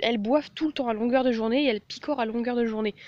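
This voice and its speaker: This woman's voice sits fairly high. The rise and fall of her pitch is ordinary. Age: 20s. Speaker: animal-care vlogger. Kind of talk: informal tutorial. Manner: hesitant, many fillers.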